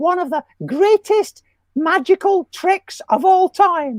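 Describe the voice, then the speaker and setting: A cartoonish character voice with a Scottish accent, pitched extremely high and delivered at a fairly slow pace. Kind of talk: comedy puppet banter. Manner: falsetto.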